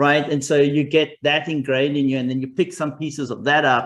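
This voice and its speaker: A man with a fairly high pitch speaks at a very fast pace, his intonation fairly even. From South Africa. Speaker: tech executive. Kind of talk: podcast interview.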